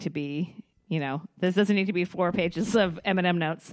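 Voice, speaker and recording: A woman speaks in a normal speaking voice at a moderate pace, fairly low in pitch with ordinary pitch variation. The recording is very clean and silent behind, with a dry, close sound and no echo. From British Columbia, Canada. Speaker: podcast co-host. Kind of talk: casual chat.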